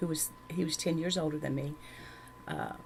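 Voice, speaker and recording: A woman speaks in a Southern US accent. Her pitch is very deep and low, and her intonation is monotone and flat. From Louisiana, rural. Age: 60s. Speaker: church member giving testimony. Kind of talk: testimony. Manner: halting.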